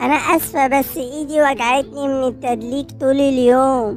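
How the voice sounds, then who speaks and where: With clear music in the background, a woman does a put-on character voice at a high pitch and a fairly slow pace. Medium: fan dub.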